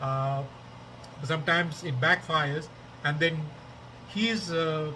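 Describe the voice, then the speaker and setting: A man speaks very slowly in a Tamil accent, with a fairly high pitch. Room echo is audible. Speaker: podcaster, political commentator. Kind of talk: casual monologue. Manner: halting, many fillers.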